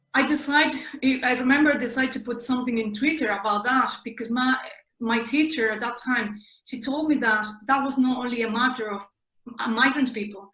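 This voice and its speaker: A woman with an Andalusian accent speaks at a high pitch. She keeps a moderate pace and fairly even intonation. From southern Spain (Seville, Andalusia). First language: Spanish. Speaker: interviewee sharing personal experience. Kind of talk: interview. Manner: halting, with self-corrections.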